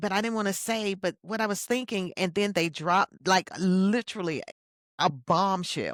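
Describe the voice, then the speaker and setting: In an ordinary speaking voice of medium pitch, a woman talks fairly slowly with ordinary pitch variation, the sound dry and close with no echo on a very clean recording with a silent background. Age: 60s. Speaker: keynote speaker and leadership coach. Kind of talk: podcast interview.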